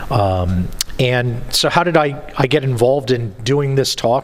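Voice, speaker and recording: A man talks fairly slowly, his pitch moving in an ordinary way. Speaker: conference presenter. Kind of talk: conference talk. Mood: light, joking. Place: hall. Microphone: podium.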